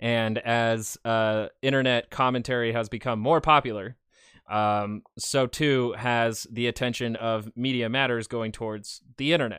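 A man with a normal speaking voice talks fairly slowly at medium pitch with fairly even intonation, recorded very cleanly with a silent background and a dry, close sound with no echo. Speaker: news commentator. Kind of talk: news-style commentary and reaction to clips. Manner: sarcastic, filler-heavy.

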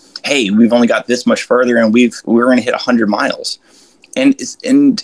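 A man with an American accent speaks at a moderate pace, the sound dry and close with no echo. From Florida. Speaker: ultramarathon runner. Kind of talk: casual chat. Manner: casual, many fillers.

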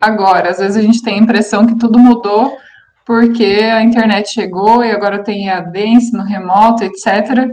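Her voice is a plain, everyday voice, as a woman talks at a fairly slow pace in a fairly high pitch with fairly even intonation. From Paraná, Brazil. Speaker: aesthetics teacher, podcast co-host. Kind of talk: casual chat. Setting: remote call.

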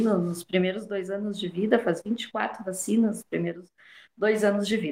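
The speaker is a woman. There is a slight breathiness to her voice. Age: 40s. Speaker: nursing professor. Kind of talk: radio interview.

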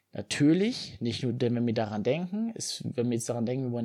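Very clean recording with a silent background, carrying a man's dark, mellow tone. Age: 20s. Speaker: fitness podcaster. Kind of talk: solo podcast monologue.

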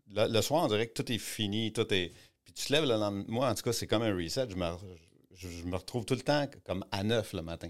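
With a Quebec accent, a man talks at a very fast pace in a fairly low pitch, his pitch varying in an ordinary way. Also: very clean recording, silent background. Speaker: art gallery owner and entrepreneur. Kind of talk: interview. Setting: studio. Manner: halting.

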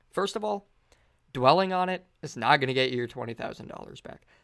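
This man keeps a fairly quick pace in an ordinary speaking voice, his pitch varying in an ordinary way. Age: 20s. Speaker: podcast host. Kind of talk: solo monologue podcast. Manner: casual, filler-heavy.

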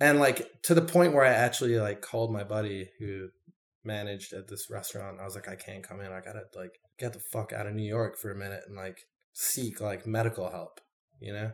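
In a very clean recording with a silent background, a man with an unremarkable speaking voice and a fairly low pitch talks at a fairly quick pace, with ordinary pitch variation and big swings in loudness. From London area, moved to Detroit at ten. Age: 30s. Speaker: artist and bartender in recovery. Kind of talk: interview, personal testimony. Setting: at his apartment.

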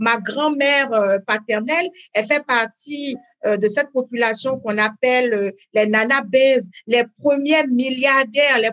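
The speaker is a woman with a high pitch. She talks at a fairly slow pace with ordinary pitch variation. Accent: slight West African. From Benin (Parakou). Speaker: life coach. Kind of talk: interview.

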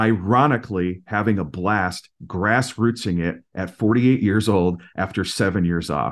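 In an ordinary speaking voice with an American accent, a man talks at a fairly slow pace and fairly low pitch. His pitch variation is ordinary, and the background is quiet. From Minnesota, US Midwest. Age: 40s. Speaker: singer-songwriter. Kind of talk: casual interview chat.

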